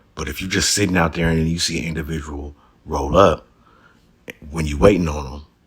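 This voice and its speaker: Long, frequent pauses break up a man's fairly quick speech, his pitch very deep and low, with an American accent. Noticeable background noise sits behind him. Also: fairly even intonation. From Los Angeles area. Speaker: YouTube commentator. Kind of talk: casual commentary.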